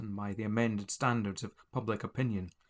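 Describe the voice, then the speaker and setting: An unremarkable speaking voice from a man, medium in pitch, at a fairly quick pace, on a very clean recording with a silent background. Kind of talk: audiobook reading of a religious text.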